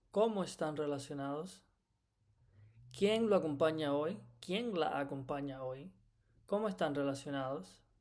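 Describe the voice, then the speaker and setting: The speech moves at a moderate pace with lively intonation and long, frequent pauses, and the room echo is audible. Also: man, fairly high pitch for a man. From Cuba. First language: Spanish. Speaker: medical Spanish instructor. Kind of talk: lecture. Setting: recorded lecture.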